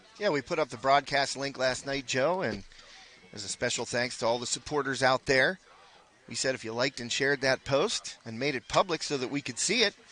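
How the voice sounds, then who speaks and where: The speaker has a Western Pennsylvania accent and a fairly quick pace with ordinary pitch variation. The sound is dry and close, with no echo. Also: man, medium pitch for a man. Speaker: sports color commentator. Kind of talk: live commentary. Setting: broadcast tent at a softball field.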